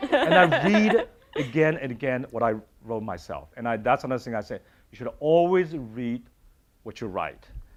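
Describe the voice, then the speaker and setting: On a very clean recording with a silent background, a man with a Chinese accent speaks with very wide pitch swings. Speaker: university dean. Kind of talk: panel discussion.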